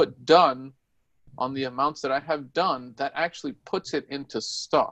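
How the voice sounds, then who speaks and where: A normal speaking voice from a man, fairly high in pitch, at a moderate pace, with a dry, close sound and no echo. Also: ordinary pitch variation. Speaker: software trainer. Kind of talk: tutorial.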